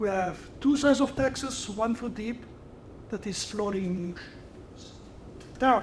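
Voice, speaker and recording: Audible room echo surrounds a man with a high pitch. He speaks at a moderate pace, with long, frequent pauses. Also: ordinary pitch variation. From Italy. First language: Italian. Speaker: research chemist. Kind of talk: lecture.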